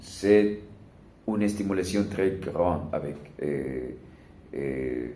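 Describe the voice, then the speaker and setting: Very slow male speech, dark and mellow with vocal fry and ordinary pitch variation, in audible room echo. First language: not French (learner, one year) (speaking French). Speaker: language learner vlogger. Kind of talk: casual monologue vlog. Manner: halting, many hesitations.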